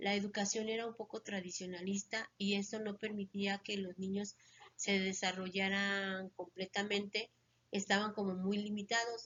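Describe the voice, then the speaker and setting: Speaking at a moderate pace, a woman uses a medium pitch and a monotone, flat intonation. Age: 60s. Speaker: retired schoolteacher. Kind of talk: interview.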